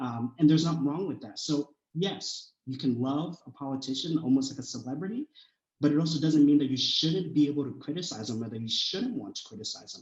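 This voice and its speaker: The speaker goes at a fairly quick pace, with ordinary pitch variation and big swings in loudness. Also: man, fairly high pitch for a man. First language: not English. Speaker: college student. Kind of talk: panel discussion.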